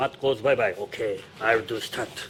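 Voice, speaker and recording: A man with a Japanese accent, at a fairly slow pace. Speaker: stunt director. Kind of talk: interview; on-set demonstration. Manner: halting.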